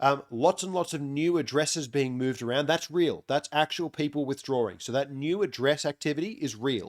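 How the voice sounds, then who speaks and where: A man with an Australian accent talks at a fairly quick pace with ordinary pitch variation, the sound dry and close with no echo. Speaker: crypto on-chain analyst. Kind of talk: market analysis update. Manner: casual, many filler words.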